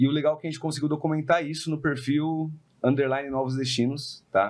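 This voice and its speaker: With a São Paulo accent, a man speaks against a quiet background. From São Paulo, Brazil. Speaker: podcast host, real estate investor. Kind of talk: casual podcast conversation.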